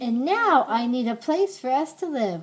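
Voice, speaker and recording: The pace stays moderate. The voice is a put-on character voice. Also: woman, high pitch for a woman. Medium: read story.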